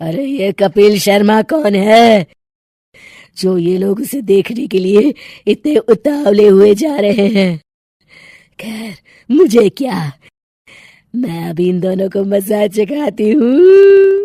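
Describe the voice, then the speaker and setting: A woman's cartoonish character voice at medium pitch, cackling at a very slow pace with long, frequent pauses. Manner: cackling, menacing.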